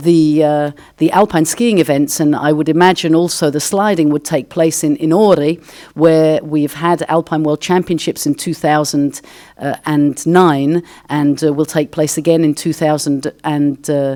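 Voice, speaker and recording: With an English accent, a woman speaks at a fairly slow pace in a very deep, low pitch, her tone dark and mellow and her intonation fairly even. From England, London. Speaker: sports federation official. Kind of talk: conference Q&A answer. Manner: halting.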